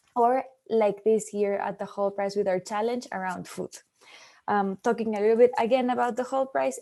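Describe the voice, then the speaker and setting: A woman speaks at a moderate pace in a dark, mellow tone, her fairly high pitch held to fairly even intonation. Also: quiet background. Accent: non-native. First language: not English. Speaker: startup prize representative. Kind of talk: webinar presentation. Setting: online webinar.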